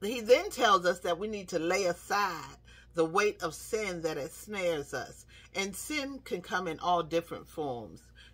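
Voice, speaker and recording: Intonation rises and falls in a lively way. The delivery is fairly slow. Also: woman. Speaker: speaker. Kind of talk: devotional talk, sermon-like vlog. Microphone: phone near.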